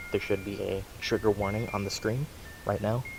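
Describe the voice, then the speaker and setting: Music plays behind a man who talks at a fairly quick pace in a fairly low pitch. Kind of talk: personal story told to camera. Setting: outdoors.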